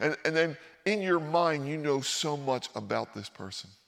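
An ordinary speaking voice from a man with an American accent, fairly high pitch and moderate pace. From Philadelphia, US. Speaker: pastor. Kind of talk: sermon. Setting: church.

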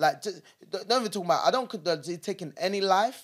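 Speaking in a London accent, a man uses ordinary pitch variation. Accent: London multicultural English. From London, born in Nigeria. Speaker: podcast co-host. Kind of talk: casual chat. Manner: animated.

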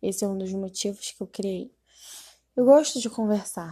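The tone is dark and mellow. It is also somewhat breathy. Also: woman. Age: 20s. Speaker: podcaster, gamer. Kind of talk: casual monologue.

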